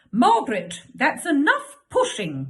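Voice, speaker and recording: The woman has a high-pitched voice. She speaks at a fairly slow pace. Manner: scolding, commanding.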